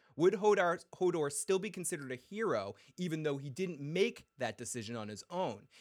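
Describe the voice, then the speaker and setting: Fairly high for a man, this voice swings very widely in pitch and moves at a fairly quick pace with an animated tone. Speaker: podcast host. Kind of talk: casual livestream show with chat and voicemails. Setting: live stream with chat, on camera. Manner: animated, profane, emotional.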